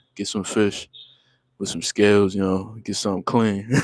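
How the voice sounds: A man's fairly low, slightly mellow voice at a moderate pace, with little pitch movement and a dry, close sound with no echo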